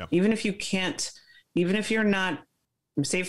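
A woman talks fairly quickly, with a quiet background behind her. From Brooklyn, New York (Flatbush); New York. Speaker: former Olympic fencer; guest. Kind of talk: interview. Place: home room. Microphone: video call.

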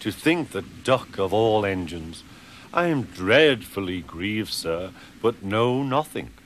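Intonation is lively as someone reads aloud naturally.

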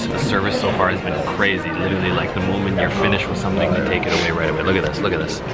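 A man speaks over loud music in the background. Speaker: vlogger. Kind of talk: casual vlog chat. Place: cafe. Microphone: phone near.

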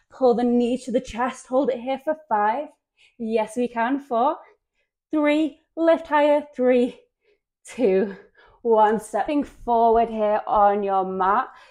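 A woman talks at a very slow pace with a high pitch and ordinary pitch variation. The background is quiet. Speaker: yoga instructor. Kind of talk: workout instruction cues.

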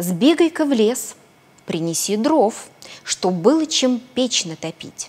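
The voice is a natural one. It reads aloud.

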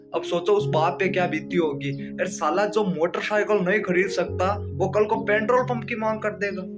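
Clear music plays in the background. A man talks at a fairly slow pace. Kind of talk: comedic skit monologue. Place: home room. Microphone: phone near.

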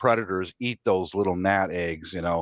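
A plain, everyday voice at a moderate pace, dry sound with no echo, quiet background. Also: man. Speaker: gardener on a livestream. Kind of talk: casual chat. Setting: video call livestream. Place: home room. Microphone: video call.

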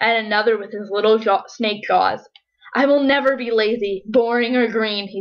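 The background stays quiet. It is a natural reading voice.

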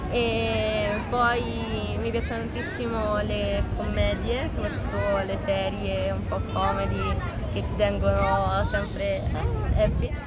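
A woman talks at a very slow pace amid loud background noise. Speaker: dancer. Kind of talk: interview answer. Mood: cheerful, animated. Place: street.

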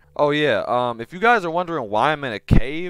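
Very wide pitch swings mark this voice, heard over a quiet background with a dry sound and no echo. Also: man. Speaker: gaming youtuber. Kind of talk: casual gameplay commentary. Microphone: headset.

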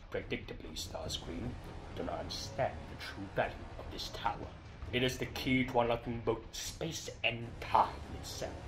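Over loud background noise, a man puts on a character voice at medium pitch and a moderate pace. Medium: voice reel. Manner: commanding.

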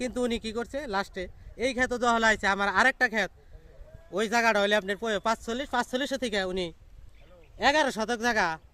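Raised and projected, a man's high voice has a bright, sharp tone. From Bangladesh, Tangail district. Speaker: villager in land dispute. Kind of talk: testimony.

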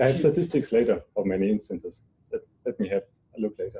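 A man speaks with a German accent. His pace is very fast. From Germany. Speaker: computer science researcher. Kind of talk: lecture. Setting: seminar room with audience. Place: hall.

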